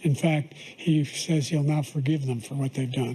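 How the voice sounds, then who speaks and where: A man's somewhat breathy voice, fairly high in pitch, with a dark, mellow tone and a moderate pace. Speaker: president. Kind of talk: debate answers.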